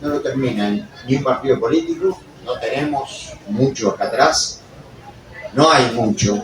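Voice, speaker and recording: Long, frequent pauses break up fairly slow speech, with noticeable noise in the background. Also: man. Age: 60s. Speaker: audience member. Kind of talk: public comment at book presentation. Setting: book fair presentation with audience. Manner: animated.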